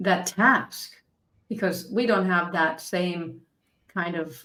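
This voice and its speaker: Her pitch medium and its movement ordinary, a woman talks in an ordinary speaking voice. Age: 60s. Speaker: podcast host and life coach. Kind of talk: interview conversation.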